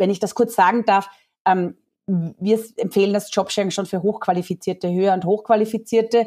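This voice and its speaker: A woman speaks at medium pitch in a slight Austrian accent. Her dark, mellow tone stays monotone and flat in intonation. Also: fairly quick pace. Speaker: founder of a job-sharing platform. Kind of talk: podcast interview.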